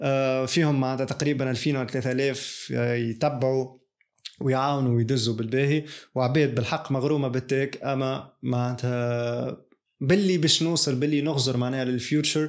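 A man at a moderate pace with fairly even intonation, over a quiet background. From Tunisia. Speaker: YouTuber; tech youtuber. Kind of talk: casual vlog monologue; casual vlog chat. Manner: halting, many fillers. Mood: reflective, calm. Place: studio.

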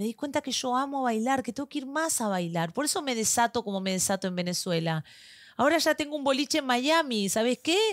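A woman with an Argentine accent talks at a fairly quick pace in a high pitch with very wide pitch swings. The sound is dry with no echo, over a quiet background. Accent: Argentine Spanish (voseo). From Argentina. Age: 40s. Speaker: podcast co-host. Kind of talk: casual chat. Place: studio. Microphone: studio mic.

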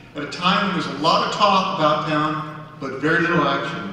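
A man speaks at a fairly quick pace amid strong room echo. Light background noise is present. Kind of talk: public speech. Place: stage. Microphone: podium.

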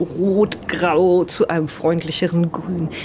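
A woman's fairly low, slightly mellow voice with little pitch movement over faint background noise

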